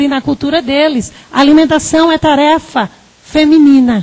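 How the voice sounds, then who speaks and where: The speaker, in a Paraíba accent, talks at a moderate pace with ordinary pitch variation. Background noise is noticeable. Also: woman. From Northeast Brazil, Paraíba. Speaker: psychologist and researcher. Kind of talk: lecture.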